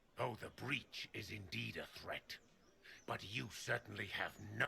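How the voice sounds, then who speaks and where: A man's put-on character voice, fairly low in pitch, at a moderate pace over clear background noise. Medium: video game. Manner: cold, imperious.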